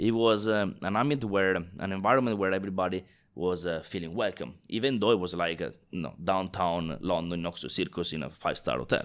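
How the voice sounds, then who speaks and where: Recorded very cleanly with a silent background, a man with an Italian accent speaks at a fairly quick pace, his very deep, low pitch showing ordinary pitch variation. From northeast Italy. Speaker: bartender and global brand ambassador. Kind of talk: casual interview chat.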